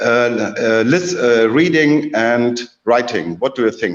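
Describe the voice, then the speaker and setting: A man with a German accent speaks at a fairly slow pace. His medium-pitched voice has lively intonation. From Germany. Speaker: academic presenter. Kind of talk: presentation talk. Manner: halting.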